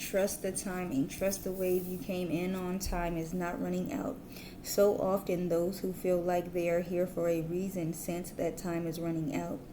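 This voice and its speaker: Spoken at a moderate pace in a dark, mellow tone, the voice stays flat and monotone, with audible echo from the room. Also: woman, fairly low pitch for a woman. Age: adult, parent. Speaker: tarot reader. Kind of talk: tarot reading. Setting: at home, kids asleep. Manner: whispering.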